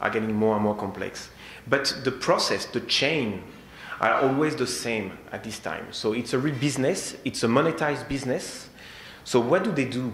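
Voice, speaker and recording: A man with a strong French accent speaks at a medium pitch with ordinary pitch variation. Noticeable background noise and audible room echo are present. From France. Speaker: security technology sales engineer. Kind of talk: conference presentation. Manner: halting.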